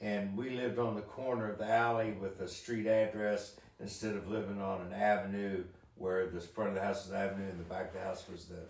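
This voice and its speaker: In a room with audible echo, a man talks at a fairly quick pace, his fairly low voice monotone and flat. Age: 60s. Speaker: father recounting his life. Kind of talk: casual chat.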